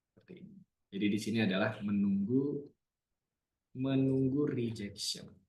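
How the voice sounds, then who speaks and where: Somewhat breathy and medium in pitch, a man talks at a moderate pace with long, frequent pauses and audible room echo. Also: ordinary pitch variation. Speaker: trading analyst. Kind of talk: live trading webinar. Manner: casual.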